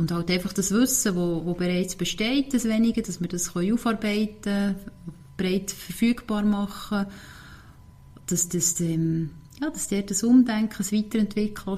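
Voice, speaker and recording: A woman speaks with a Swiss accent at medium pitch. Her pace is fairly slow, with ordinary pitch variation. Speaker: marathon runner. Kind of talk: interview. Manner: halting.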